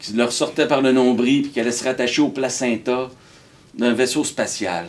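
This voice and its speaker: This man speaks at a medium pitch with ordinary pitch variation, in a Quebec accent. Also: moderate pace. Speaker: storyteller. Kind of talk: live storytelling performance. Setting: live stage. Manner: energetic, comic.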